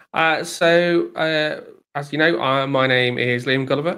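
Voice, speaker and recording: At a moderate pace, a man talks with fairly even intonation in a plain, everyday voice. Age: middle-aged. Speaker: DevOps consultant. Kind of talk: casual tech chat on live stream. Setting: live stream.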